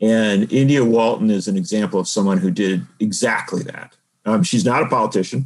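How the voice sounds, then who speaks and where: In a plain, everyday voice with an American accent, the speaker moves at a fairly quick pace with ordinary pitch variation. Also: man, fairly low pitch for a man. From Wisconsin, around Milwaukee. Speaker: political journalist and author. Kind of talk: interview on politics.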